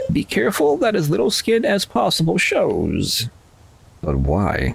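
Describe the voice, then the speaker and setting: The voice is a put-on character voice. It belongs to a man. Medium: game stream. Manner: smooth, persuasive.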